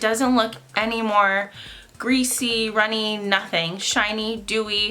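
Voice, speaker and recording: Noticeable background noise sits behind a woman's fairly high-pitched voice. She talks at a fairly slow pace with fairly even intonation. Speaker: beauty vlogger. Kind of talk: casual makeup review to camera. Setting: seated at home in front of a camera. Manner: loud, yelling into the camera.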